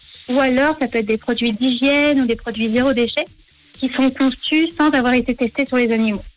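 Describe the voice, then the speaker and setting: Noticeable background noise sits behind a woman speaking at a moderate pace in a high pitch with fairly even intonation. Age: 20s. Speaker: vegan box business founder. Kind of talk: radio interview.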